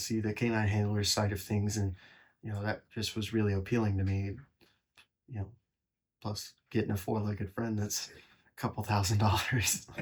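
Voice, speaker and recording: With an American accent, a man speaks at a fairly low pitch, somewhat breathy and in a monotone, flat intonation. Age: 20s. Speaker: police detective. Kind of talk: interview answer. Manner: casual, conversational.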